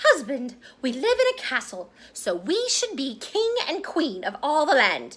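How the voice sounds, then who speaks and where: Using a put-on character voice, a woman speaks at a high pitch and a moderate pace. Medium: read story. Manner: bossy.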